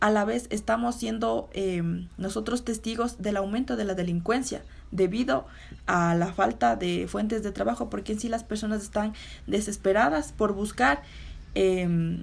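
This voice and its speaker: A woman's somewhat breathy voice, fairly slow in pace, carries lively intonation. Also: medium pitch for a woman. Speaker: interviewee. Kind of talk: interview answers. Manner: halting.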